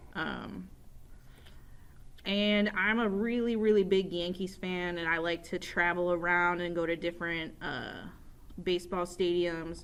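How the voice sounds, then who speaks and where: Speaking in an upstate New York accent, a woman with a fairly low pitch talks at a fairly slow pace in monotone, flat intonation with long, frequent pauses. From upstate New York, Rochester. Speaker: teacher. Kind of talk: casual self-introduction to students. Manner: casual, with many fillers.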